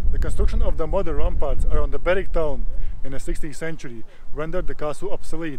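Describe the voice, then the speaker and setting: A man rattles off his words very fast while clear background noise is heard. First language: not English (English is third language). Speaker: travel vlogger. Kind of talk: travel vlog narration; casual vlog talk to camera. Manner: halting, stuttering.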